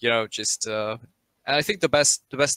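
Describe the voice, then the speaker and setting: A man with a German accent at a moderate pace, bright and sharp in tone, fairly even in intonation, in a dry, close sound with no echo. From Germany. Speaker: esports caster. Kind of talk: live commentary. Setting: live stream.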